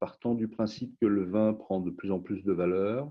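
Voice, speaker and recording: A man with an unremarkable speaking voice, fairly low in pitch, at a fairly slow pace. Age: 60s. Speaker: wine company founder. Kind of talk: interview.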